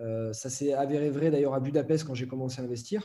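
At a moderate pace, a man speaks in an unremarkable speaking voice at medium pitch. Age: 20s. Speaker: entrepreneur and online trainer. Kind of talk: casual interview.

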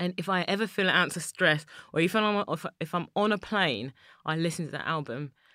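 A woman speaks with a London accent at a moderate pace, her pitch varying in an ordinary way. The recording is very clean with a silent background. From East London, England. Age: 30s. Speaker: chocolate maker and business founder. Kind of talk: interview.

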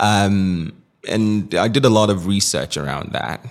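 Vocal fry runs through this man's fairly low-pitched voice. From Nigeria. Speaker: tech entrepreneur and former presidential candidate. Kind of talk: interview conversation. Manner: hesitant, many fillers.

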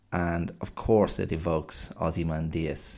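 Very deep and low in pitch, a man talks at a fairly slow pace on a very clean recording with a silent background. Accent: Irish. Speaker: podcast host. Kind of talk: solo monologue podcast. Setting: recording at home. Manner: repeats words, hesitant fillers.

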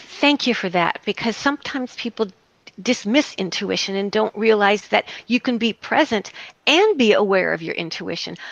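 At a moderate pace, an unremarkable speaking voice talks with ordinary pitch variation in a dry, close sound with no echo. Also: woman, fairly high pitch for a woman. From US South. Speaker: psychotherapist. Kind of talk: interview.

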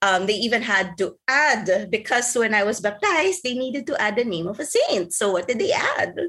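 A woman with an ordinary speaking voice talks at a moderate pace, fairly high in pitch, with lively intonation and hardly any pauses. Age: 40s. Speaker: life coach. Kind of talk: interview.

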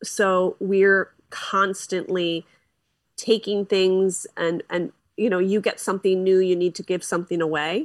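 A woman with an American accent and an unremarkable speaking voice talks at a fairly slow pace in a medium pitch with fairly even intonation, in a dry, close sound with no echo. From Philadelphia, US. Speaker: podcaster. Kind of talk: casual interview chat. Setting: video call.

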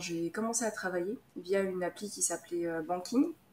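A woman's voice with ordinary pitch variation. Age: 30s. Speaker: medical physicist and investing YouTuber. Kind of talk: interview. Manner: halting, many repetitions and fillers.

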